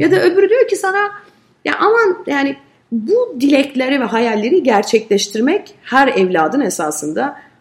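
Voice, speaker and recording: A woman at a moderate pace with very wide pitch swings. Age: 40s. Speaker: advertising agency head. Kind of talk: interview conversation.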